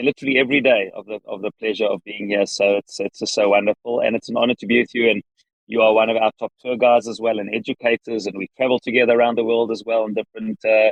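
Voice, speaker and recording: A man with a South African accent speaks at a very fast pace with hardly any pauses. His medium-pitched voice stays monotone, with flat intonation. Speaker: rabbi and organization leader. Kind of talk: interview. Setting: in a car.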